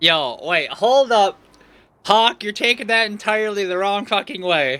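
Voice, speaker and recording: Over a silent background in a very clean recording, a man projects a raised, high, bright and sharp voice with lively intonation at a fairly slow pace. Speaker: VTuber streamer. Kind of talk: live game stream chat. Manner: animated; loud, sounds like yelling.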